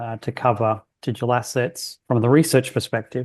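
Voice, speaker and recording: Fairly quick speech comes from a man with an Australian accent. The background is quiet. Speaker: bank research economist. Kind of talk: podcast interview.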